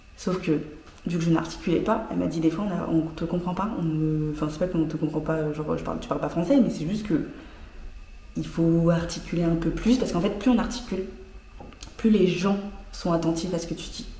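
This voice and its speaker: A woman with a fairly low pitch and ordinary pitch variation talks at a fairly quick pace, leaving long, frequent pauses. Audible room echo surrounds her voice. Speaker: journalist and fashion podcaster. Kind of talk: casual vlog talk. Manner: fast; under-articulated.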